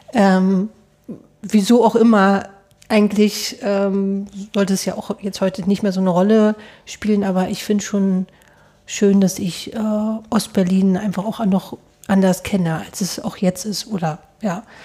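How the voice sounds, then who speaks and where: A woman's somewhat breathy, dark, mellow voice at a medium pitch, flat and monotone, with long, frequent pauses. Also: fairly slow pace. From East Germany. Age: 30s. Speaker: podcast host. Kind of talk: casual interview. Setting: studio.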